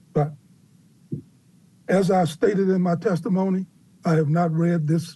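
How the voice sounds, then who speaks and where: Here a man speaks at a high pitch and a fairly slow pace, his tone dark and mellow, with very even loudness, fairly even intonation and long, frequent pauses. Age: 70s. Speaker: youth community worker testifying. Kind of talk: public testimony, answering questions. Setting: public council hearing. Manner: halting, many fillers.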